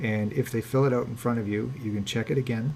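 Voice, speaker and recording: A man's somewhat breathy voice sits at a medium pitch with fairly even intonation. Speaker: landlord coach. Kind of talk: webinar lecture. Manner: fast.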